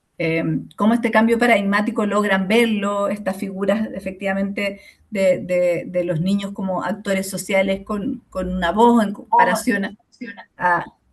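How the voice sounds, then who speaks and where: In a room with audible echo, a woman speaks at a moderate pace and medium pitch, her intonation fairly even. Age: 40s. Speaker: sociologist and course lecturer. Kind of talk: online lecture. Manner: hesitant, many fillers.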